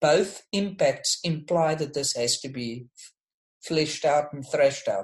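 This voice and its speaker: A man with an unremarkable speaking voice talks at a fairly slow pace and a fairly high pitch. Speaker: discussion leader. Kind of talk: closing reflection. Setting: online group call.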